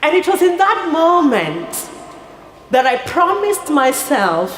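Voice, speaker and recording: A woman talks very slowly, her voice carrying audible room echo against noticeable background noise. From rural Kenya. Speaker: nonprofit founder. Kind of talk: speech. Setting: stage with audience. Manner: formal.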